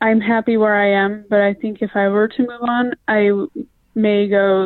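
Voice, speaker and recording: A woman with a plain, everyday voice speaks at a medium pitch and a moderate pace, her intonation fairly even. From Utah. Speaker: nurse. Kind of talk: interview.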